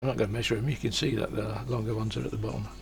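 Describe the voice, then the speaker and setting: His fairly low pitch carries vocal fry as this man speaks. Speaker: hobbyist maker. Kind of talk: casual build tutorial. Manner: quiet, not loud.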